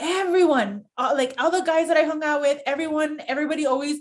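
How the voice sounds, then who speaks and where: Talking at a very fast pace, a woman with an American accent speaks at a high pitch. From US, San Diego near Mexican border. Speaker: sports broadcaster. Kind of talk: casual chat.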